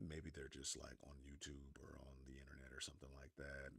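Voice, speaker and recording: Using a very deep, low pitch with vocal fry, a man with an American accent speaks at a moderate pace. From Northern California. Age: 30s. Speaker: gaming streamer. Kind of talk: casual live-stream monologue. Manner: animated.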